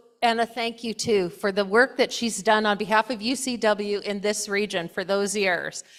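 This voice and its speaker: Fairly high-pitched female voice over background music. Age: 60s. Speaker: church presiding officer. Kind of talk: meeting announcements. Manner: halting.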